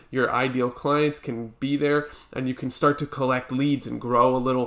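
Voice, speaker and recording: A man with a plain, everyday voice at medium pitch and a moderate pace. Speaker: business coach. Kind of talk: tutorial. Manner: casual, with fillers.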